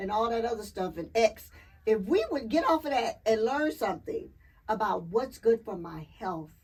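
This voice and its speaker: A woman speaks in an animated tone at a fairly high pitch. Her voice is somewhat breathy with lively intonation. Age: 60s. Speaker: clean energy advocate. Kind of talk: casual interview.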